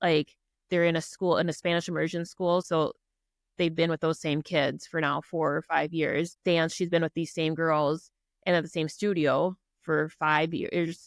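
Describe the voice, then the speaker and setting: With a strong Minnesota accent, a woman speaks at a fairly low pitch in a monotone, flat way, her loudness very even and the sound dry and close with no echo. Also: moderate pace. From Minnesota (Prior Lake). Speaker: army officer and business owner. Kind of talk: podcast interview.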